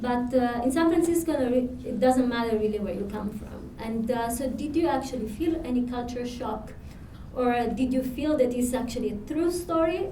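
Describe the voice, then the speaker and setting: Over noticeable background noise and audible room echo, a woman with a high pitch talks at a moderate pace with ordinary pitch variation. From Italy. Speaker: panel moderator. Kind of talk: panel discussion.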